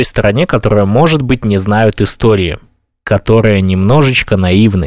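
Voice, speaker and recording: An unremarkable speaking voice at a fairly slow pace, lively intonation and very even loudness throughout. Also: man. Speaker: podcast host. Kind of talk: casual chat.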